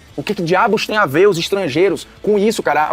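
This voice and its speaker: Over music in the background, the speaker sounds animated, with ordinary pitch variation. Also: man. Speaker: football commentator reacting to a TV show. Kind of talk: casual react commentary.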